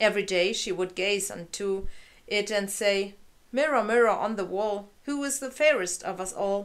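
A woman talks at a moderate pace with ordinary pitch variation. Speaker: fairy-tale narrator. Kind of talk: reading a story aloud. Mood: calm, gentle narration. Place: home room. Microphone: camera far.

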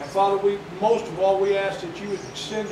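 There is noticeable background noise and audible room echo around a man whose voice sits high in pitch. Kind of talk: sermon. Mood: reverent, earnest. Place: hall. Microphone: camera far.

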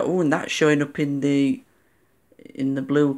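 In a quiet background, a woman speaks with a very deep, low pitch. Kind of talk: casual show-and-tell narration. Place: home room. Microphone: phone near.

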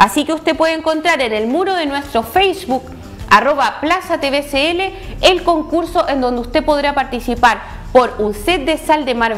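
A high-pitched woman talks at a moderate pace with lively intonation. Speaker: TV show host. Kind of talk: live TV presenting, contest announcement. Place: studio.

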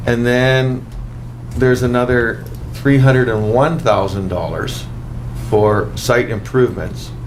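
Through noticeable background noise and audible room echo, a man speaks at a medium pitch and a fairly slow pace, his intonation fairly even and broken by long, frequent pauses. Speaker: city councillor. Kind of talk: council meeting questions. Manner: halting.

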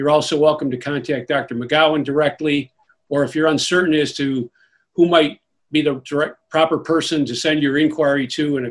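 A man speaks at a moderate pace in a flat monotone against a quiet background. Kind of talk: formal meeting announcement. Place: home room. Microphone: video call.

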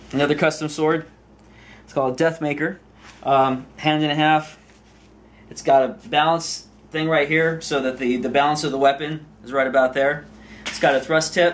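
A man talks at a moderate pace with fairly even intonation. He leaves long, frequent pauses. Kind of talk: show-and-tell demonstration. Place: workshop. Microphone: camera far.

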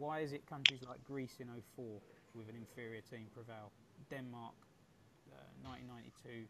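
A man with a southeast English accent at a moderate pace, fairly even intonation, and loud background noise. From England, Colchester; England. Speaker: football podcast host. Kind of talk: casual panel chat. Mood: relaxed, opinionated. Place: home room.

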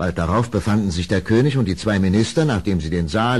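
The voice has a slightly mellow tone and big pitch swings, moving at a moderate pace. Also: man.

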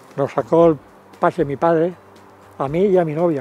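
Faint music plays behind a man whose fairly high pitch and fairly even intonation come through dry sound with no echo. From Valencia region, Spain (Chiva); Valencia, Spain. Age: 80s+. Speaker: football fan. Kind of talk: interview reminiscence; interview answer. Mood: warm, nostalgic. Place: stadium. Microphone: lapel.

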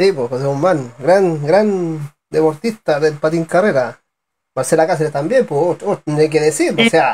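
A man speaks at a fairly slow pace, his pitch fairly high and its variation ordinary. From Chile. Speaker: sports channel interviewer. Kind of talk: live online interview show. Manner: halting, repeats words. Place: street. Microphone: video call.

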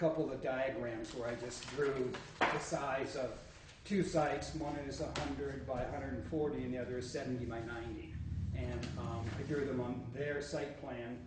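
Over loud background noise and audible room echo, a man speaks at a fairly slow pace. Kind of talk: public meeting statement. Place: meeting room. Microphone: podium.

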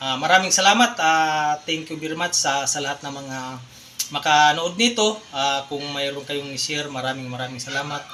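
A moderate pace and ordinary pitch variation from a man's fairly high voice, set against noticeable background noise. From Philippines, Bohol (Anda). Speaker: vlogger. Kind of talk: casual vlog appeal to viewers. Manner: halting, many fillers.

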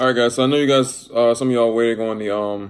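The delivery comes at a very fast pace. The intonation is monotone and flat. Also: man. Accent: American. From Tampa Bay area, Florida; Florida. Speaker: YouTuber. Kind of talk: casual mukbang vlog. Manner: casual, halting with fillers. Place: home room. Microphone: phone near.

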